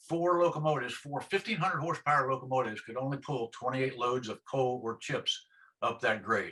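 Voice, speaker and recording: A man's plain, everyday voice with an American accent, medium in pitch and with ordinary pitch variation. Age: 60s. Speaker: retired railroader. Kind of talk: oral history interview answer.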